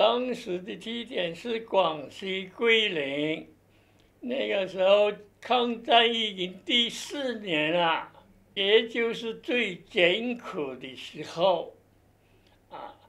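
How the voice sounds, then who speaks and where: Big swings in loudness mark a man's high-pitched voice as he speaks at a very slow pace. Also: lively intonation. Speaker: military police veteran. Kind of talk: oral history interview answer. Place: office.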